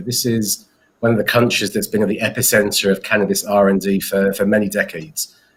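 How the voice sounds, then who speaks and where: A man with an English accent, fairly low in pitch, talking at a very fast pace. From England. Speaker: company founder and CEO. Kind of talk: interview. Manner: hesitant, many fillers and repeats.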